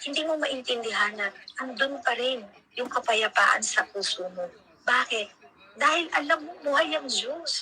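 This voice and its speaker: A woman's raised, projected voice, high in pitch, fairly slow, with lively intonation and noticeable background noise. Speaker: preacher. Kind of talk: sermon. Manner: loud; animated.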